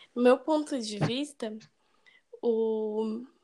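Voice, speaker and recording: The speaker is a woman. Her pitch is fairly high. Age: 20s. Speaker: engineering student. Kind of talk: casual chat.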